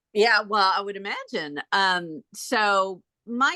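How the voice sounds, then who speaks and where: A woman's voice comes through bright and sharp. The sound is dry and close, with no echo. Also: quiet background. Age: 60s. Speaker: real estate agent. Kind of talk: question in online group meeting.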